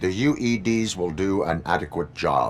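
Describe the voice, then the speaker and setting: A man's put-on character voice, very deep and low, at a moderate pace amid clear background noise. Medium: video game. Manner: terse, flat, monotone.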